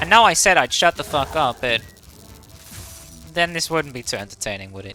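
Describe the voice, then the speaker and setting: With music in the background, a man speaks at a fairly quick pace in a fairly high pitch, with very wide pitch swings and big swings in loudness. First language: not English. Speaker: gaming youtuber. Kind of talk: gameplay commentary. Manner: casual, rambling.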